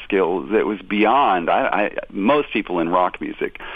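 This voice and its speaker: Speaking at a moderate pace, a man has an ordinary speaking voice with a medium pitch. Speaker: tribute musician and former touring guitarist. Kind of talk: casual interview. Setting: phone call. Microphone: phone line.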